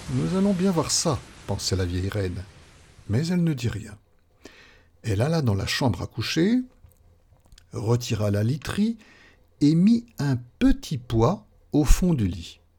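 A man speaks at medium pitch with a dark, mellow, somewhat breathy tone and very wide pitch swings. His pace is very slow, broken by long, frequent pauses. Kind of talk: fairy tale narration, read aloud. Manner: storyteller's measured, gently expressive pace.

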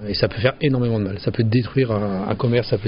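Talking at a very fast pace, a man has a somewhat breathy, medium-pitched voice with fairly even intonation. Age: 50s. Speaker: pizzeria owner. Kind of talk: interview. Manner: halting.

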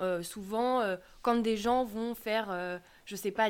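Fairly high in pitch, a woman talks at a very slow pace with fairly even intonation. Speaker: podcast co-host. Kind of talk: podcast interview.

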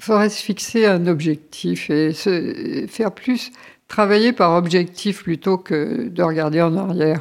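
A very slow woman's voice at medium pitch with ordinary pitch variation, on a very clean recording with a silent background. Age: old. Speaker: retired interviewee. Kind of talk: personal storytelling. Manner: halting.

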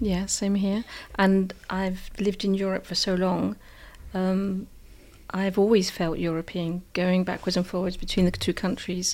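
On a very clean recording with a silent background, a woman with a southern English accent speaks at a medium pitch and fairly slow pace, her intonation monotone and flat. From southern England, Hampshire. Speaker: English teacher and school librarian. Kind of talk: interview.

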